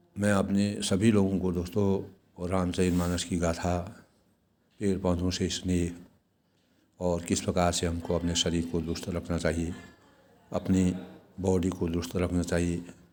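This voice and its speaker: A man speaks in a very deep, low pitch with a dark, mellow tone and monotone, flat intonation. He leaves long, frequent pauses, and audible room echo is present. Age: 60s. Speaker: vlogger. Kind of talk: motivational vlog talk. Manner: formal.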